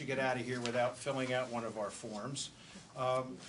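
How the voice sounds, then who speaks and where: The recording has audible room echo and noticeable background noise. A man with a medium pitch talks at a fairly quick pace. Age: 60s. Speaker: borough manager. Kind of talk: public talk at community event.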